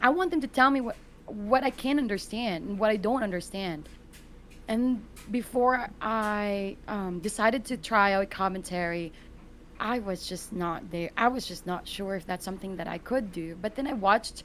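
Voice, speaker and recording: A woman with a non-native accent talks at a moderate pace. Her pitch is medium, with ordinary variation. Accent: foreign. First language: not English. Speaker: gaming content creator and commentator. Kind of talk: casual podcast interview.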